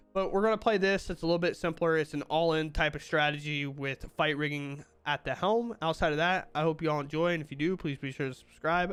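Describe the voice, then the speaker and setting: Music runs in the background as a man talks at a very fast pace. His voice is fairly high, with ordinary pitch variation. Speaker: gaming YouTuber. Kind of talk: gameplay commentary. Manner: casual, animated.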